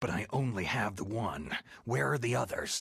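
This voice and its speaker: Putting on a growling character voice, a man speaks at a medium pitch and moderate pace with lively intonation. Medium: video game. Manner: terse, gravelly.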